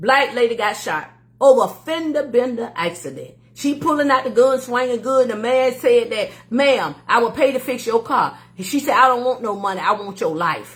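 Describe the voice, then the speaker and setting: A woman's high, animated voice with an American accent, lively intonation and a moderate pace. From Florida, Miami. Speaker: livestream host. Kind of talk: casual livestream talk.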